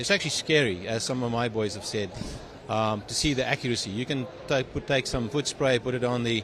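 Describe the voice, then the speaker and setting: A man talks at a fairly quick pace, his voice at a medium pitch. Noticeable background noise runs behind him. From South Africa. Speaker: tech company CEO and engineer. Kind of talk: interview. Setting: trade show. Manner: halting with many fillers.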